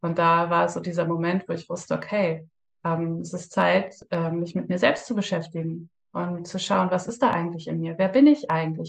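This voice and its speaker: A woman speaks at a moderate pace with fairly even intonation. Her voice is somewhat breathy and fairly low in pitch. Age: 30s. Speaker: breathwork practitioner, former police officer. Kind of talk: interview.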